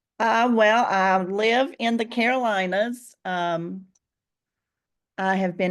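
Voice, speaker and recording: The woman's voice sits at a fairly high pitch with ordinary pitch variation. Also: quiet background. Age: 60s. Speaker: real estate agent. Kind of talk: casual interview. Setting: video call.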